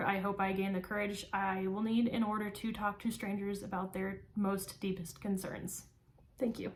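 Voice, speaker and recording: Through noticeable background noise, a woman with an American accent speaks at a medium pitch in monotone, flat intonation. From California, small-town central California. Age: 20s. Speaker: psychology student. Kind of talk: class speech, self-introduction. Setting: recorded for speech class. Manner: frequent filler ums, somewhat halting.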